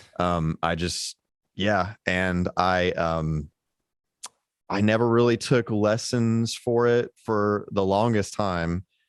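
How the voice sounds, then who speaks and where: A man with a fairly low pitch and ordinary pitch variation speaks at a very slow pace. The sound is dry and close with no echo, over a quiet background. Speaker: musician and producer. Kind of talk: casual chat. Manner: halting, many fillers.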